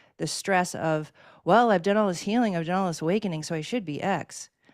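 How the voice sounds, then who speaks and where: A woman with an American accent on a very clean recording, silent background. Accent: Boston accent, slips out. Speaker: spiritual energy healer. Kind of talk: conversational panel talk.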